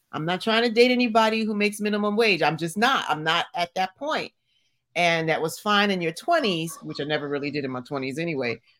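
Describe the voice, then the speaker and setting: The speaker talks at a moderate pace with very wide pitch swings on a very clean recording with a silent background. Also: woman. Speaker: co-host. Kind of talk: casual chat.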